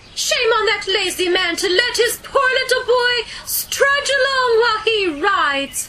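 Clear background noise sits behind an extremely high-pitched voice that moves at a fairly slow pace with hardly any pauses. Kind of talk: family storytelling. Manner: disapproving, tut-tutting.

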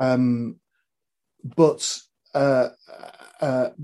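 With a northwest English accent, a man speaks in a dark, mellow tone with ordinary pitch variation. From northwest England. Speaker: comedy podcast co-host and film star. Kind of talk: casual interview. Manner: halting, many repeated words.

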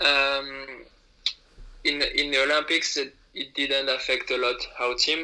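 A man speaks fairly slowly with a French accent and long, frequent pauses. His fairly high voice stays monotone and flat over noticeable background noise. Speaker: alpine ski racer. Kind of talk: interview. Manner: halting.

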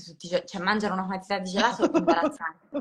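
A woman talks very fast at a medium pitch, somewhat breathy and with lively intonation. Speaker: comedian. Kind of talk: casual chat.

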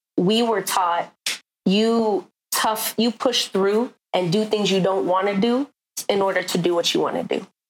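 In a plain, everyday voice, a woman speaks with fairly even intonation and very even loudness. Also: medium pitch for a woman, fairly slow pace. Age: 30s. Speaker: artist. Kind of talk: casual interview.

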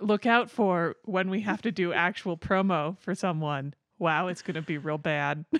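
A woman talks in an unremarkable speaking voice at a fairly low pitch, with ordinary pitch variation and a moderate pace. The background is quiet, and the sound is dry and close with no echo. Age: 30s. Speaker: podcast co-host. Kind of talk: casual chat.

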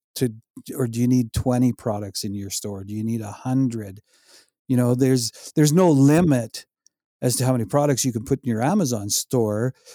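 A man talks at a fairly quick pace with a medium pitch and ordinary pitch variation. His tone is dark and mellow, in a dry, close sound with no echo. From Saskatchewan, Canada. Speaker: e-commerce seller. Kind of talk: casual interview.

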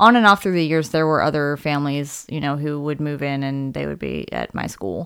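An American accent at a moderate pace with ordinary pitch variation, on a very clean recording with a silent background. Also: woman. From US Mid-Atlantic (Maryland). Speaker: podcast host. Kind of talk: casual chat.

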